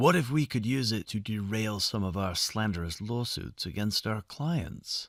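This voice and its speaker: In a very clean recording with a silent background, a man performs a put-on character voice at a fairly low pitch, with lively intonation and a moderate pace. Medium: read story. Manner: domineering, brusque.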